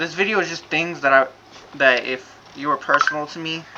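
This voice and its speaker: A man talks fairly quickly while noticeable noise is heard behind him. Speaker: amateur rapper. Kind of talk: casual vlog explanation. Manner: halting.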